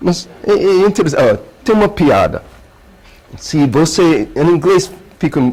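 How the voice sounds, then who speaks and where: High-pitched man with an American accent, fairly slow and full of long, frequent pauses, lively in intonation yet very even in loudness, over noticeable background noise. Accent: non-native Portuguese, American. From United States. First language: English (speaking Portuguese). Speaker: researcher giving a lecture. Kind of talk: lecture. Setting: auditorium with audience. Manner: halting.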